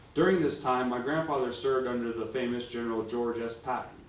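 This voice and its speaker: Noticeable background noise sits behind a man speaking at a moderate pace and medium pitch with ordinary pitch variation. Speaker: grandson of a war veteran. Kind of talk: public speech presentation.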